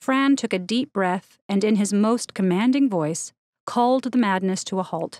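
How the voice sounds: Quiet surrounds the recording. The speaker reads aloud in a natural way.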